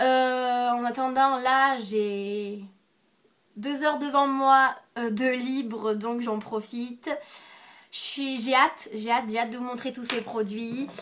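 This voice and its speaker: Long, frequent pauses break up a woman's very slow speech. Her high pitch follows a fairly even intonation. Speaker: beauty vlogger. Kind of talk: product review haul. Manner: hesitant, many fillers.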